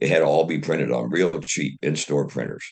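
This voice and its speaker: This man has a very deep, low voice with vocal fry and an American accent. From US Midwest, Dayton Ohio. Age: 80s+. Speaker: retired engineer and inventor. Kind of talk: interview. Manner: halting, many fillers and repetitions.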